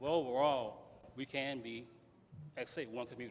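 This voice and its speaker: A man with a Louisiana accent talks at a medium pitch. His intonation stays fairly even. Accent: Louisiana Southern US. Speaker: political candidate, retired police officer. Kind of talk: candidate forum speech. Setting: community center with audience.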